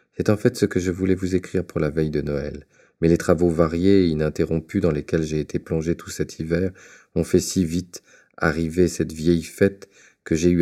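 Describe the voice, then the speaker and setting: In a very clean recording with a silent background, a man speaks with a very deep, low pitch, a warm tone and a dark, mellow tone, his intonation monotone and flat. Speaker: audiobook reader. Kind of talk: audiobook reading of a letter. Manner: warm, contemplative, literary delivery.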